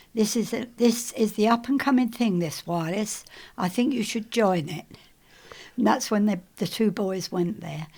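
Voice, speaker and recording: In a very clean recording with a silent background, a woman with a somewhat breathy, fairly high-pitched voice speaks at a moderate pace with ordinary pitch variation. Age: 80s+. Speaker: retired broadcasting staff member. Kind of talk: oral history interview. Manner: halting.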